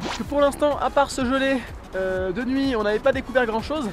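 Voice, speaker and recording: Over music in the background, a man speaks at a fairly quick pace with an extremely high pitch. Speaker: travel vlogger. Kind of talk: travel vlog. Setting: in a taxi.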